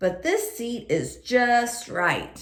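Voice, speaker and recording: The speaker is a woman putting on a character voice. She pitches it high. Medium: read story.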